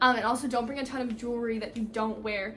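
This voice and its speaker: Talking at a very fast pace, a woman with a fairly high pitch keeps a flat, monotone intonation, and audible room echo surrounds her voice. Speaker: college student vlogger. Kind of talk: casual vlog tutorial. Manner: filler words, casual.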